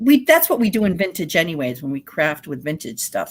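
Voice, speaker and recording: A woman speaks with a New England accent. Her tone is animated, with very wide pitch swings. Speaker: vintage reseller and live stream host. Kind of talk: casual chat on live stream.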